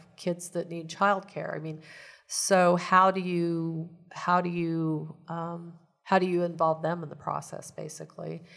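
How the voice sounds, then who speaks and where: A woman's fairly low, monotone voice with flat intonation and a Midwestern American accent, on a very clean recording with a silent background. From Kansas. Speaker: community advocate. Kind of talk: interview. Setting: studio.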